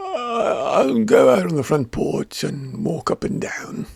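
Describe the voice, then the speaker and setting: Using a put-on character voice, a man speaks raspy and fairly high-pitched at a fairly slow pace. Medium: read story.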